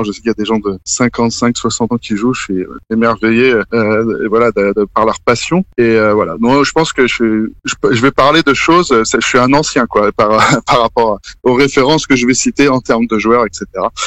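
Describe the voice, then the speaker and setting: With a medium pitch and ordinary pitch variation, a man talks at a fairly quick pace in a dry, close sound with no echo. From Paris region, France. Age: 30s. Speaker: screenwriter. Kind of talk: podcast interview. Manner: halting, many fillers.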